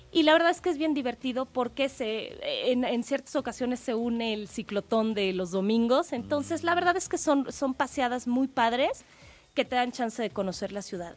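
A woman with a high pitch and lively intonation at a moderate pace, over a quiet background. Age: 20s. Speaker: triathlete and cycling expert. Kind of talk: radio interview.

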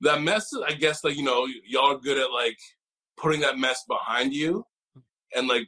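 A man with a Canadian accent has a fairly high pitch and ordinary pitch variation. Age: 30s. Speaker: panelist. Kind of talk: panel discussion. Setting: video call.

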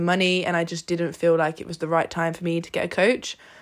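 A woman's unremarkable speaking voice, fairly low in pitch and fairly quick, on a very clean recording with a silent background. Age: 20s. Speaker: podcast co-host, bodybuilder. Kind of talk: casual chat.

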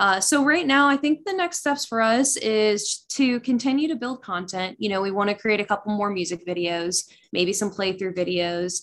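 A woman talks in an ordinary speaking voice at medium pitch. Her intonation is lively and her pace moderate. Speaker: band member, musician. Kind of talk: casual interview. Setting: Skype call.

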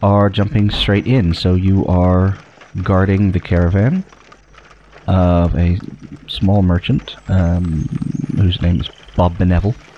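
Against noticeable background noise, a man with a fairly low pitch speaks at a very slow pace. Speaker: game master running the tabletop role-playing game. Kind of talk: tabletop RPG session, casual banter and narration.

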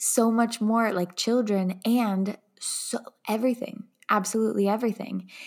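A woman with a fairly high pitch talks in an enthusiastic tone at a moderate pace. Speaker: podcast host and coach. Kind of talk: casual interview chat.

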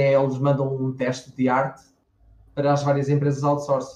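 A man talks at a fairly quick pace with a European Portuguese accent. His fairly high voice stays monotone, with flat intonation. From Portugal, Lisbon. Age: 30s. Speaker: 3D character artist. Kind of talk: interview on a live stream.

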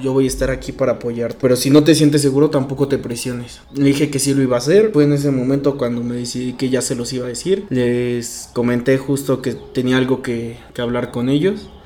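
With hardly any pauses and fairly even intonation, a man talks at a fairly quick pace and medium pitch over noticeable background noise. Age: 20s. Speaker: interviewee sharing coming-out story. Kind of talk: testimony.

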